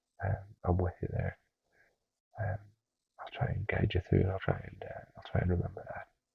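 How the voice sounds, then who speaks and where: A soft-spoken, somewhat breathy man with a very deep, low pitch and a gentle tone, monotone and flat in intonation, at a fairly quick pace with long, frequent pauses and big swings in loudness. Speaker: ASMR creator playing a personal trainer. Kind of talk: ASMR roleplay talk to a listener. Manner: soft-spoken, gentle, with frequent filler words.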